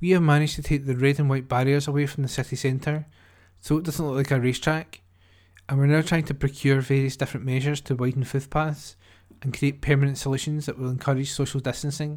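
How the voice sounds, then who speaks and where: A man speaks at a very fast pace in a fairly high pitch with monotone, flat intonation. The recording is very clean with a silent background. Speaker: volunteer newsreader. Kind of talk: newsreading, reading newspaper articles aloud. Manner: steady, clear, even newsreader delivery with occasional stumbles.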